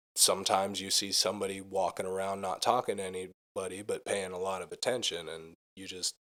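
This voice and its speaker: With an American accent, a man speaks at a fairly quick pace and fairly low pitch in a monotone, flat intonation, his bright, sharp tone swinging widely in loudness with hardly any pauses. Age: 20s. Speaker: musician. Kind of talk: casual chat.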